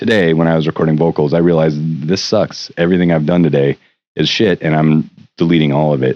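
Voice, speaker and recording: A man with a very deep, low pitch talks at a very fast pace, keeping very even loudness and fairly even intonation. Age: 50s. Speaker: musician and producer. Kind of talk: casual video diary monologue. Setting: home recording studio. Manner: rambling, hesitant with fillers.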